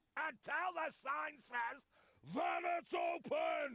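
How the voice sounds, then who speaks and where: A man's put-on character voice, extremely high-pitched and shouting at a very slow pace. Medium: video game. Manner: brusque, shouting.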